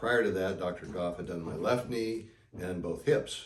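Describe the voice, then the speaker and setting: A somewhat breathy man speaks at a moderate pace with lively intonation, and audible room echo surrounds him. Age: 70s. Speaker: knee surgery patient. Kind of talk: interview testimony. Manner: conversational with fillers.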